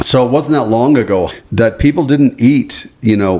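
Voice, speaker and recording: This man has a plain, everyday voice at medium pitch and talks at a moderate pace. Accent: American. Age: 60s. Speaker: podcast co-host. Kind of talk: casual chat.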